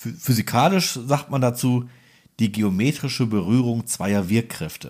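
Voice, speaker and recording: Delivered at a fairly slow pace, a plain, everyday voice moves with ordinary pitch variation. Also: man, medium pitch for a man. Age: 30s. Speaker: welding podcast co-host. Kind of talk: casual technical explainer chat.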